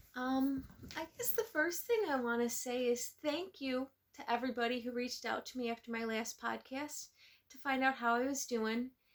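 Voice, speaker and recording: Big swings in loudness at a moderate pace, with fairly even intonation. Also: woman, high pitch for a woman. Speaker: knitting podcaster. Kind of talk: casual vlog chat. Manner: hesitant, many fillers; talking louder than usual.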